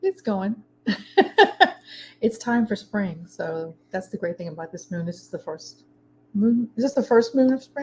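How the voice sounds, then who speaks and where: With a Baltimore accent, a woman speaks at a fairly slow pace in a fairly high, somewhat breathy voice with a dark, mellow tone and lively intonation, leaving long, frequent pauses. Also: big swings in loudness. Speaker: meditation teacher. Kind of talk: casual chat.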